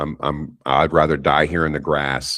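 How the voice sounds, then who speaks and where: On a very clean recording with a silent background, a man with a very deep, low voice and vocal fry speaks at a fairly slow pace. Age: 50s. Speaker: psychedelic facilitator and instructor. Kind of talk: interview testimony.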